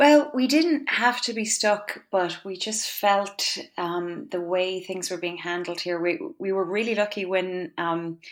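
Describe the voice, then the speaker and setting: A woman with a western Irish accent, medium pitch and lively intonation, at a fairly slow pace with hardly any pauses. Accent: Irish (west of Ireland). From Ireland, County Galway (west). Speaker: composer and conductor. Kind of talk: interview.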